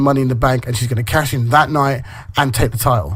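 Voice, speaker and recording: The speaker goes at a very fast pace and sounds somewhat breathy. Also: man. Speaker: wrestling podcast co-host. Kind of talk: casual chat.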